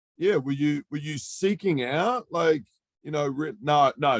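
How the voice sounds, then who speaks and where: Speaking fairly slowly with a New Zealand accent, a man with a fairly high voice uses lively intonation in a dry, close recording with no echo. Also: very clean recording, silent background. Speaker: podcast host. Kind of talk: interview conversation. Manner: halting.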